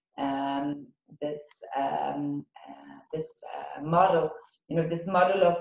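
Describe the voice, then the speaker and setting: Speaking at a very slow pace with an Israeli accent, a woman has a fairly low pitch. Her tone is dark and mellow and her intonation fairly even. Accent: non-native English, Hebrew-speaking. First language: Hebrew. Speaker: teacher trainer, workshop leader. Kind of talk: online workshop. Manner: halting, many fillers.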